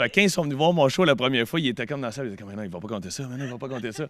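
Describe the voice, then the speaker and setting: A man speaks with a Quebec accent. His pitch varies in an ordinary way. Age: 30s. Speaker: comedian. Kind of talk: interview.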